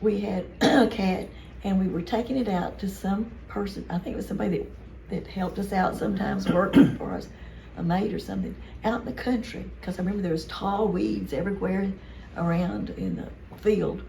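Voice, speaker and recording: A woman with an American accent at a fairly quick pace, with audible room echo and noticeable background noise. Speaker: family member reminiscing. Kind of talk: casual chat.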